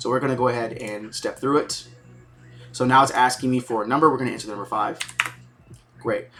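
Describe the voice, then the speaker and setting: With ordinary pitch variation and a medium pitch, a man talks through noticeable background noise. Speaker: programming professor. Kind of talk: lecture. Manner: fast; casual, conversational.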